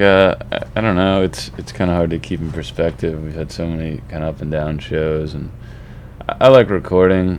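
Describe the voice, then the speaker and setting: Noticeable background noise and audible room echo surround a man's voice. His pitch is very deep and low, with ordinary variation, at a moderate pace. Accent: American. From US East Coast. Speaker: indie rock musician. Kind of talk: casual interview. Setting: studio. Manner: halting, repeats words.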